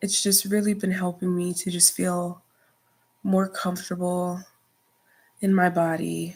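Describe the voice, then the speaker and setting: The woman's voice is medium in pitch and somewhat breathy. She talks fairly slowly with monotone, flat intonation. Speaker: vlogger. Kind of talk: personal vlog monologue. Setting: dark room.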